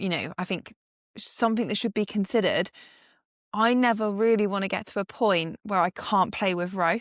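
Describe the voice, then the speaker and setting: A woman with an ordinary speaking voice and a medium pitch talks at a moderate pace with fairly even intonation, in a dry, close sound with no echo against a quiet background. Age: 30s. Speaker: strength and conditioning coach. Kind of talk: casual chat.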